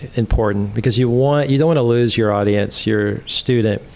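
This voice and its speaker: Using ordinary pitch variation, a man with an American accent talks at a medium pitch and a moderate pace. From Texas. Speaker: college ministry trainer. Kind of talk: podcast interview answer. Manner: soft-spoken.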